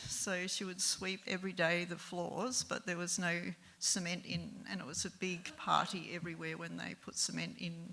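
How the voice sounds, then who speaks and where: A woman with an Australian accent, fairly low pitch, fairly even intonation and a moderate pace. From Alice Springs, Northern Territory, Australia. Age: 70s. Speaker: local resident sharing life story. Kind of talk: personal storytelling talk. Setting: live event with audience. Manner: hesitant, many filler ums.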